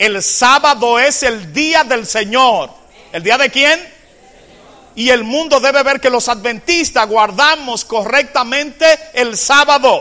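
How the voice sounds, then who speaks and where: Over noticeable background noise, a man projects a raised voice at an extremely high pitch, very slowly, with ordinary pitch variation. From Dominican Republic, Cambita (San Cristóbal). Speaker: Adventist pastor / Bible teacher. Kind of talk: sermon / Bible study lecture.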